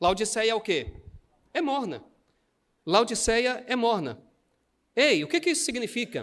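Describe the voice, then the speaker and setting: With an extremely high pitch, a man speaks at a fairly slow pace in an animated tone, his intonation lively and his pauses long and frequent. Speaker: pastor. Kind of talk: sermon.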